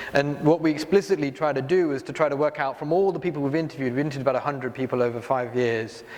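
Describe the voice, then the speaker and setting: Over noticeable background noise, a man with a British accent talks at a very fast pace. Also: fairly high pitch for a man, ordinary pitch variation. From UK. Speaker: health nonprofit leader on a panel. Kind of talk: panel discussion. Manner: hesitant, many fillers.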